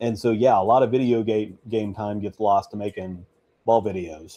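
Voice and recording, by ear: At a moderate pace, a man speaks with a dark, mellow tone, a fairly low pitch and fairly even intonation.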